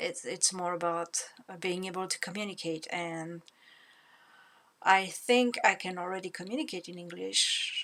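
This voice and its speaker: A woman with a French accent speaks at a fairly slow pace, her pitch rising and falling in the ordinary way. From France. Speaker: language learner vlogger. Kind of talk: casual monologue vlog. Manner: halting, many fillers and repetitions.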